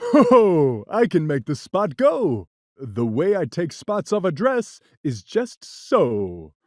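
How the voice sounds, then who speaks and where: A man in a put-on character voice talks at a high pitch, his pitch swinging very widely. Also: fairly slow pace. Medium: read story. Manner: laughing, carefree, boastful.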